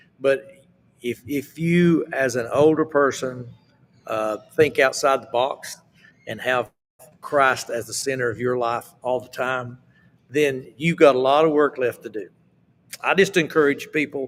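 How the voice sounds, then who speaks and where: Speaking with an Appalachian accent, a man uses a fairly high pitch and ordinary pitch variation at a fairly slow pace with long, frequent pauses. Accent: Appalachian Southern US. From Appalachia, US. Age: 70s. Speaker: southern gospel singer. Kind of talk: casual interview.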